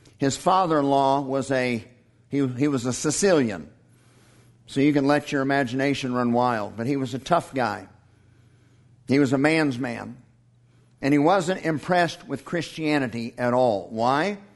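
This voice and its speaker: In a room with audible echo, a man with a fairly high pitch talks at a moderate pace, with ordinary pitch variation and long, frequent pauses. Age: 50s. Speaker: pastor. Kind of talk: sermon.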